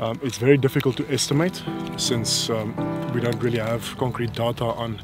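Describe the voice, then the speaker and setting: Clear music plays behind a man who speaks at a moderate pace with ordinary pitch variation, the sound dry with no echo. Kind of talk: interview answer. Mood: calm, informative. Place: open country.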